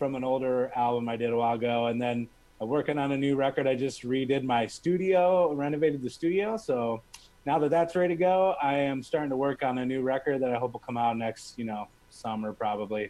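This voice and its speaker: Here a man talks with a plain, everyday voice at a medium pitch. His pace is fairly quick, and his pitch variation is ordinary. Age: 40s. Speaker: musician. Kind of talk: casual interview. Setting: live stream.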